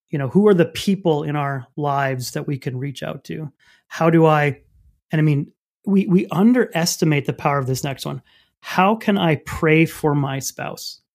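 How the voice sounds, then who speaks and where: On a very clean recording with a silent background, a man with a fairly high pitch talks in a normal speaking voice at a moderate pace with ordinary pitch variation. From Canada, French Canadian. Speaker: pastor and author. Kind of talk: interview.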